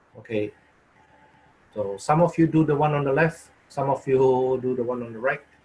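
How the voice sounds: A man with a medium pitch and a dark, mellow tone talks at a moderate pace, with ordinary pitch variation and a slightly husky edge.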